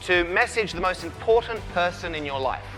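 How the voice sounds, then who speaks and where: Over music in the background, a man speaks at a high pitch. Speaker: keynote speaker. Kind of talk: motivational keynote speech. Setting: conference stage.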